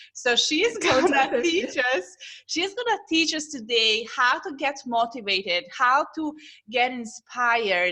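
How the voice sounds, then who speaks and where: With a raised, projected voice, the speaker moves at a fairly slow pace through very wide pitch swings. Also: woman, high pitch for a woman. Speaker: parenting coach. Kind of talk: podcast host interview.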